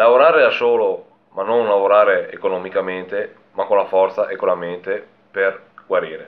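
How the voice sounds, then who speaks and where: At a moderate pace, a man is talking. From northern Italy, Belluno province; northern Italy. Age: 20s. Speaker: woodcutter. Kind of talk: personal testimony. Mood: calm, reflective. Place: home room. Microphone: phone near.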